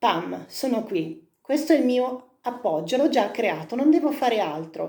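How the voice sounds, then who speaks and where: Moving at a moderate pace, the speaker has a dark, mellow tone. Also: woman. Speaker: singing teacher. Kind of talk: vocal technique lesson to camera.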